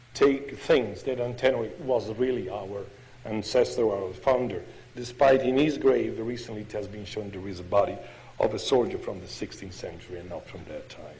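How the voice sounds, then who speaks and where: A man with an Italian accent speaks at a moderate pace, his loudness swinging widely. Audible room echo surrounds his voice. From Italy (Padua). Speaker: pediatrician and professor giving a history lecture. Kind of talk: lecture. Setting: podium before an international audience. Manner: halting, non-native phrasing.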